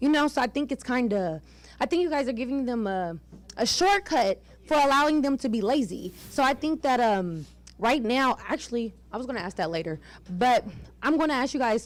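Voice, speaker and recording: A loud woman with a high pitch, very wide pitch swings and a fairly quick pace. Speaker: audience member asking a question. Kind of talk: question at a public pitch event.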